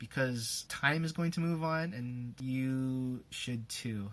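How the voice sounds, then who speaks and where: Soft-spoken and medium in pitch, a man talks on a very clean recording with a silent background. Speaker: YouTuber, singer doing covers. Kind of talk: personal vlog, advice list.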